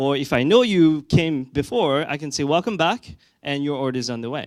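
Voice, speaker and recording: A man with a French accent and fairly high pitch speaks with lively intonation on a very clean recording with a silent background. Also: moderate pace. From France. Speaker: conference speaker, tech product executive. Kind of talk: conference talk. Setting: stage with audience. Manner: frequent fillers and hesitations.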